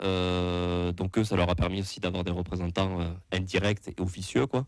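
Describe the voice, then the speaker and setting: In a slight southwestern French accent, a man with a very deep, low pitch speaks at a moderate pace in a monotone, flat intonation, recorded very cleanly against a silent background. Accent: slight southwest French. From southwest France. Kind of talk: casual chat. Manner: halting, many fillers.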